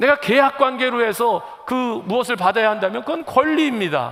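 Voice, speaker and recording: A man speaks with lively intonation at an extremely high pitch. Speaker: pastor. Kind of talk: sermon. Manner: fast.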